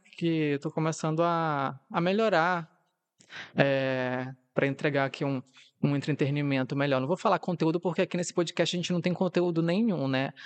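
A man's unremarkable speaking voice, fairly high in pitch with ordinary pitch variation, dry and close with no echo, against a quiet background. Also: moderate pace. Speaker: podcast host. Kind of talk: casual solo monologue.

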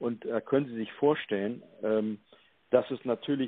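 This man's voice shows ordinary pitch variation. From northern Germany, Hamburg. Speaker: EU civil servant. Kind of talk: interview. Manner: halting, many fillers.

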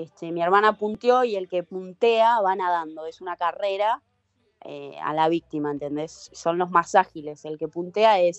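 A woman with a normal speaking voice and fairly low pitch talks at a fairly slow pace, showing ordinary pitch variation and big swings in loudness. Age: 30s. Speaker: professional surfer. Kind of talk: casual interview.

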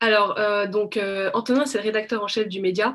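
In an ordinary speaking voice, a woman talks at a moderate pace. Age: 20s. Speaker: media co-founder. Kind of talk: interview.

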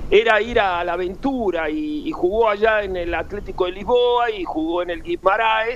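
A man with a high voice talks fairly slowly with hardly any pauses. His intonation is lively, and noticeable background noise is heard. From Buenos Aires, Argentina. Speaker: former footballer. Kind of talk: interview. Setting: phone call. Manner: halting; cheerful.

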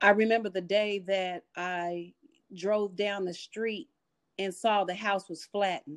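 A normal speaking voice from a woman with an American accent, medium in pitch, fairly even in intonation and fairly slow in pace, on a very clean recording with a silent background and a dry, close sound with no echo. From Austin, Texas. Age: 50s. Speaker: author and mental health advocate. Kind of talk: interview.

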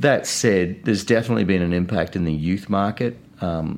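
With a New Zealand accent, a man talks at a moderate pace. His pitch is very deep and low. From New Zealand, Christchurch. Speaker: business owner. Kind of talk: interview.

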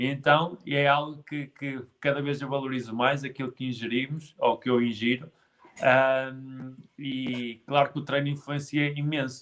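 A man with a fairly high pitch speaks fairly slowly in a monotone, flat intonation. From northern Portugal, Guimarães. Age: 20s. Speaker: physical education graduate and fitness trainer. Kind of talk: casual interview on a live stream.

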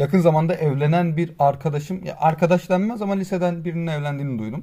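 This man's voice is dark and mellow. It sits fairly high in pitch. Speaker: podcast co-host. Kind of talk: casual chat. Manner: louder than usual.

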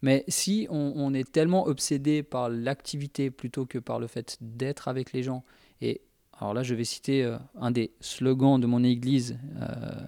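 The voice has a dark, mellow tone and fairly even intonation, recorded with a dry, close sound with no echo. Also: man. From Spanish heritage. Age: 30s. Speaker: youth leader. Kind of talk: casual chat.

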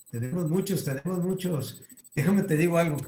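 A man with a dark, mellow tone speaks at a moderate pace, sounding somewhat breathy. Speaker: youth club organizer. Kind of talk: casual chat moderating Q&A.

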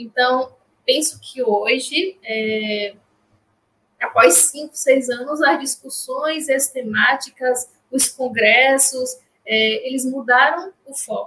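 Speaking at a very slow pace, a woman uses a raised, projected voice that is high, bright and sharp, with big swings in loudness. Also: ordinary pitch variation. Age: 30s. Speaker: clinical psychologist. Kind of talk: interview.

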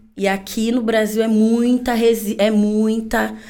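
Amid audible room echo, a woman talks at a fairly high pitch. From São Paulo, Brazil. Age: 20s. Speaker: fashion entrepreneur. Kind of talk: casual interview.

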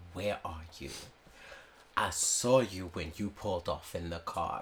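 Using a put-on character voice, a man booms at a very deep, low pitch. His pace is fairly slow, with clear background noise behind him. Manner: accusing, demanding.

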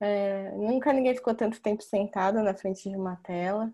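Over a quiet background, a woman speaks fairly slowly in a dark, mellow tone, her fairly high pitch held to fairly even intonation. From São Paulo state, Brazil. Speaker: chiropractor, moderator. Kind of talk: online panel conversation. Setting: video call.

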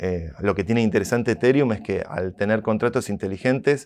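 A man speaks at a moderate pace in a fairly low pitch with ordinary pitch variation, a plain, everyday voice over a quiet background. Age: 30s. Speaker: tech entrepreneur. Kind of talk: interview.

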